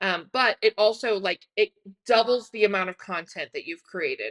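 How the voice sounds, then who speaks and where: Recorded with a dry, close sound with no echo, a woman with an unremarkable speaking voice talks at a fairly high pitch with ordinary pitch variation. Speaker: online business coach. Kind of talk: tutorial. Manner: casual, filler-heavy.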